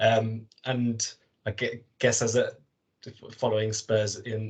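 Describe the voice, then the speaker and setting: With a London accent, a man talks in a fairly low pitch that is somewhat breathy, his intonation monotone and flat. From North London. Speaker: football supporters' trust board member. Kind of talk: podcast interview.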